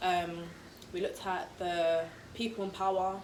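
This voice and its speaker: A woman's fairly low voice in a London accent, fairly even in intonation, with audible room echo and noticeable background noise. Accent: London English, multicultural. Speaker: vlogger. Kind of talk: casual chat. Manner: fast.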